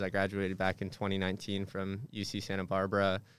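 The recording is very clean, with a silent background. A man speaks with a fairly low pitch. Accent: Californian. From Southern California. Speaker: fraternity staff member. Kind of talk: podcast interview. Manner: halting, frequent repetitions; laughs often.

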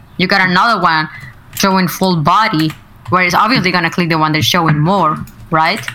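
A woman with a fairly low pitch speaks at a fairly quick pace and very even loudness. Audible room echo and noticeable background noise fill the recording. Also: ordinary pitch variation. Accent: Spanish. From Mexico. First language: Spanish. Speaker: streamer. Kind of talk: casual chat.

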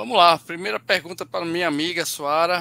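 The speaker is a man with a bright, sharp tone. He keeps to a moderate pace. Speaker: running podcast co-host. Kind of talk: casual chat.

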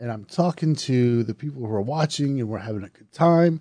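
Pitched fairly high, a man speaks at a moderate pace with a dark, mellow tone. His intonation is lively. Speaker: horror podcast host and reviewer. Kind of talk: podcast movie review, casual. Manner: conversational, self-deprecating.

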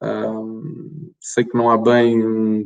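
A man with a European Portuguese accent speaks at a medium pitch. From Portugal. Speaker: tax consultant. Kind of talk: presentation.

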